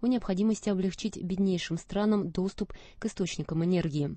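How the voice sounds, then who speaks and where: A woman talks at a fairly quick pace with fairly even intonation. The sound is dry with no echo, against a quiet background. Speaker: newsreader. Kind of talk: news reading. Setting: studio.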